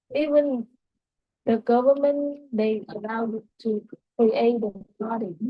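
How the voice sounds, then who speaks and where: Speaking very slowly, a woman with a Vietnamese accent uses a fairly high pitch. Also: ordinary pitch variation. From southern Vietnam, Saigon. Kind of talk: casual chat.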